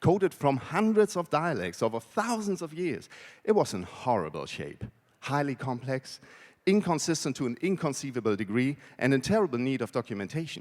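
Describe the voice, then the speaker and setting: In a very clean recording with a silent background, a man with a German accent speaks at a fairly quick pace with very wide pitch swings. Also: fairly high pitch for a man. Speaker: conference speaker, WordPress translator. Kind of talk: conference talk. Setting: stage with audience.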